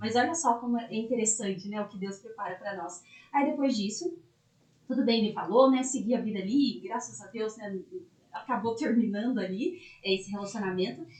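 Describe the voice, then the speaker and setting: The pace is fairly quick. The pitch varies in an ordinary way. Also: woman, fairly high pitch for a woman. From interior of São Paulo state, Brazil (Itapeva). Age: 20s. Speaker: lawyer. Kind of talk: podcast interview, personal story.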